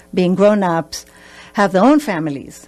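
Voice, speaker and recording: Speaking with an Israeli accent, a woman has medium pitch and ordinary pitch variation. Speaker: family therapist. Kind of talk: radio interview. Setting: radio studio.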